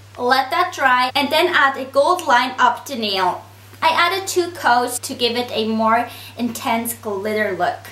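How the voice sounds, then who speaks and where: Through noticeable background noise, a woman with a high pitch speaks at a fairly slow pace with lively intonation. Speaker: nail art YouTuber. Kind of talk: tutorial.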